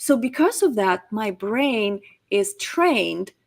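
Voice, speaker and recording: Lively intonation runs through the speech. The voice has a somewhat breathy quality. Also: woman. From Crimea, Ukraine. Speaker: public speaking coach. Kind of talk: interview.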